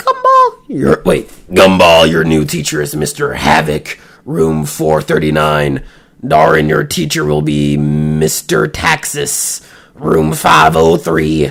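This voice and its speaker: A man puts on a character voice, very deep and low in pitch, delivered at a fairly slow pace. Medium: read story. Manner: stern.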